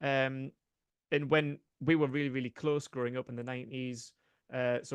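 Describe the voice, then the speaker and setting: The intonation is fairly even. The background is quiet, and the sound is dry and close with no echo. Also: man. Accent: Geordie. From northeast England, Newcastle. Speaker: sports podcaster. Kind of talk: podcast interview. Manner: hesitant, many fillers.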